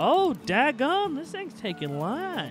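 Clear music plays behind a man doing a put-on character voice at an extremely high pitch. His pitch swings very widely. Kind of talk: gameplay commentary.

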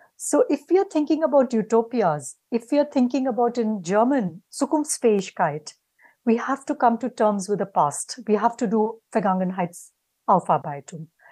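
A woman with an Indian accent, fairly high in pitch with a dark, mellow tone and very wide pitch swings, at a moderate pace against a quiet background. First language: Hindi. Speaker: academic panelist; panelist. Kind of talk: panel discussion. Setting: video call. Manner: halting. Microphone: video call.

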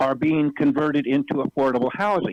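Ordinary pitch variation marks a normal speaking voice. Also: man. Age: 60s. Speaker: public commenter at city council meeting. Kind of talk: public comment.

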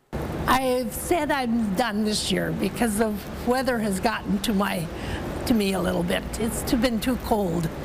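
Background noise is noticeable here. The woman talks fairly slowly. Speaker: arena ticket scanner. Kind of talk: interview answer. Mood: warm, cheerful. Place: hall. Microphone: lapel.

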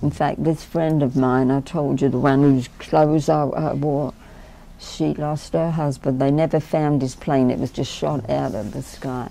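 Fairly even intonation marks this woman's very deep, low voice, which has a dark, mellow tone. She talks at a fairly slow pace. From England. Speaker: war bride interviewee; interviewee. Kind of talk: oral history interview. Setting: recorded interview on camera at a history center. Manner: chatty, laughs often. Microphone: lapel.

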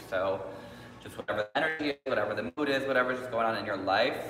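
Recorded with audible room echo and light background noise, a man talks at a fairly quick pace. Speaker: yoga instructor. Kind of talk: online class instruction. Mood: relaxed, friendly. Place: hall. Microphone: camera far.

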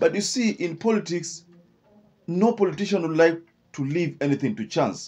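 In a Kenyan accent, the speaker talks at a moderate pace with ordinary pitch variation and long, frequent pauses. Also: man, high pitch for a man. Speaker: political commentator. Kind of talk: scripted-style political commentary. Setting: online video. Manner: halting, filler-heavy. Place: studio. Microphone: studio mic.

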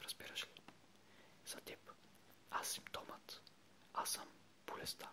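The words are whispered at a fairly slow pace. Noticeable noise sits in the background. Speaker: ASMR video creator reading aloud. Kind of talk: whispered ASMR reading of a short text. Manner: whispered, soft-spoken.

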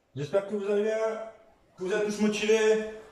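Strong room echo surrounds this voice. The man's pitch is high. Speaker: fitness coach. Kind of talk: workout instruction. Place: home room. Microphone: camera far.

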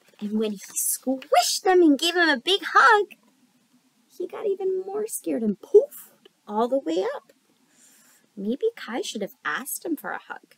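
A woman speaks at a fairly slow pace with an extremely high pitch, big pitch swings, vocal fry and a fairly bright tone, in a dry, close sound with no echo.

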